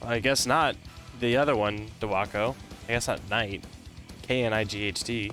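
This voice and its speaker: Music plays behind a man who talks at a moderate pace with fairly even intonation and long, frequent pauses. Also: medium pitch for a man. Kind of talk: live esports-style shoutcasting commentary on a military simulation game match. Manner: casual, conversational play-by-play.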